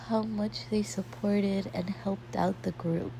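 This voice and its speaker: A woman speaks at a moderate pace in a fairly low voice, somewhat breathy. Her tone is dark and mellow. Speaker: art channel creator talking about university life. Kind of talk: casual vlog storytelling.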